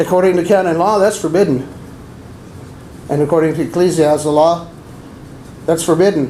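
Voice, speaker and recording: Fairly quick delivery broken by long, frequent pauses, with very even loudness and fairly even intonation, plus noticeable background noise and audible room echo. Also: man, high pitch for a man. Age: 60s. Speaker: abuse survivor and deacon candidate. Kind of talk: press conference statement.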